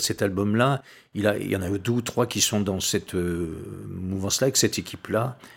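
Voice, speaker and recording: A man's fairly even intonation comes through on a very clean recording against a silent background. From western France, Oléron island. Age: 60s. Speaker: record collector and musician. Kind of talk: casual interview. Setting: recorded in his home. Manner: hesitant, many fillers.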